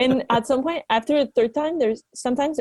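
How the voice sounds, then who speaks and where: A woman's dark, mellow voice in a Quebec accent, very fast, with ordinary pitch variation. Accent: Québécois French-accented English. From Quebec, Canada. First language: French. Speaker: alpine skier, Olympian. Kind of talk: casual interview chat.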